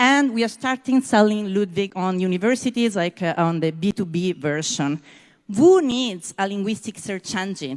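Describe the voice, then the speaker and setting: Speaking at a moderate pace with lively intonation, a woman with an Italian accent has a medium pitch, on a very clean recording with a silent background. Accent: non-native English, Italian. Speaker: startup founder. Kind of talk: sales pitch.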